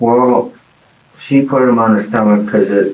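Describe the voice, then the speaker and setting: Amid noticeable background noise, a man mumbles at a moderate pace with a fairly low pitch and fairly even intonation. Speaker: father of the deceased infant. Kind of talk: police interview answer. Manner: mumbling.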